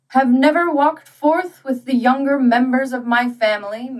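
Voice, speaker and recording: A woman in a put-on character voice, high-pitched, at a moderate pace. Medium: read story. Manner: genial, cheery, hearty.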